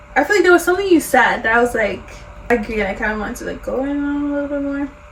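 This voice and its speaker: Amid noticeable background noise, a woman with a high pitch speaks very fast with lively intonation and big swings in loudness. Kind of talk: casual conversation.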